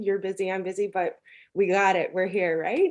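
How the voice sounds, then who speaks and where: A woman with a Newfoundland accent. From Newfoundland, Canada. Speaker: content strategist. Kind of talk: podcast interview.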